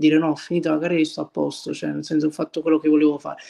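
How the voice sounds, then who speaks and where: A man is speaking. The background is quiet. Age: 20s. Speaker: visual effects artist; interview guest. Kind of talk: casual interview. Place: kitchen. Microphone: video call.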